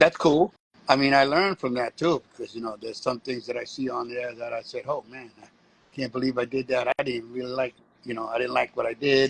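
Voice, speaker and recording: In a New York accent, a man speaks at a fairly quick pace with a medium pitch and fairly even intonation, the sound dry and close with no echo. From US, New York (Bronx). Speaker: street performer and breakdancer. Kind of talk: interview.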